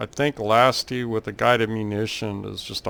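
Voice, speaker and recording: A man with an American accent speaks at a fairly low pitch in a monotone, flat delivery. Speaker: flight sim gaming youtuber. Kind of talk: gameplay tutorial commentary. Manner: casual, with frequent filler 'uh'.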